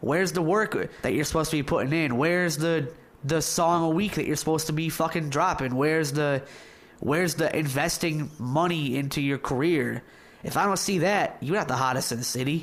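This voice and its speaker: In an unremarkable speaking voice, a man with an American accent talks at a fairly quick pace. His pitch sits fairly high with ordinary variation and very even loudness. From Michigan. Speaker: interviewer. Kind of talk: casual interview.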